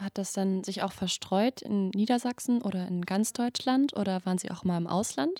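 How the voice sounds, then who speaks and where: A dark, mellow voice with ordinary pitch variation moves at a moderate pace with hardly any pauses, sounding dry and close with no echo on a very clean recording against a silent background. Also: woman, medium pitch for a woman. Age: 20s. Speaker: medical student podcast host. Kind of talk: interview.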